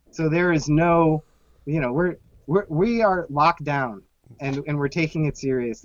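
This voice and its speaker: Talking with an American accent at a moderate pace, a man has a fairly high pitch and ordinary pitch variation. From US Southwest, Phoenix. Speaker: cocktail history podcaster. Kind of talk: casual chat. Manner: halting, repeats words.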